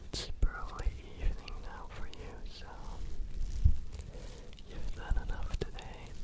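A man whispers at a very slow pace. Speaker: ASMR creator. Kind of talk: soft whispered ASMR talk. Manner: soft, hushed ASMR murmur. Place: home room. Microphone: studio mic.

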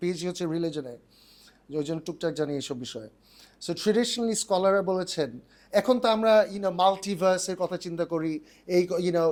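The voice uses ordinary pitch variation in a very clean recording with a silent background. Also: man, high pitch for a man. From United Kingdom. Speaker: organic farm owner, entrepreneur. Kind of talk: interview, casual.

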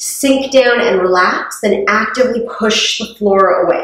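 The recording has a quiet background and audible room echo. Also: woman. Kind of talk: exercise class instruction. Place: gym. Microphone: camera far.

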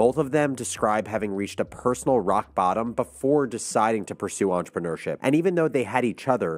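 A man talks at a very fast pace with hardly any pauses. His intonation is lively. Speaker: podcast host. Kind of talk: podcast intro and ad read. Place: studio. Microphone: studio mic.

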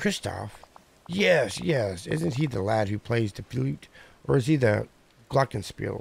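A man's raspy, put-on character voice at medium pitch, fairly slow, with long, frequent pauses. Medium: game stream. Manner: muddled, genteel.

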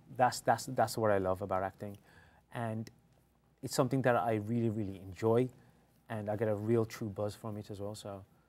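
With a London accent, a man talks at a fairly quick pace with a fairly low pitch. His intonation stays fairly even, and he takes long, frequent pauses. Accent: British English, London area. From England, British Indian. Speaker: actor. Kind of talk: casual interview. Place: studio.

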